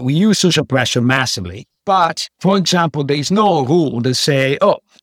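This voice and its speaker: A man with an Italian accent, fairly high pitch, ordinary pitch variation and a moderate pace, in a dry, close sound with no echo. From Italy (Padua, Veneto). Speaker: economics professor. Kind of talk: interview.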